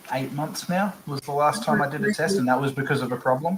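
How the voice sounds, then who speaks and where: There is noticeable background noise as a man speaks with lively intonation and an Australian accent. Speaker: aquarium hobbyist. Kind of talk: casual chat.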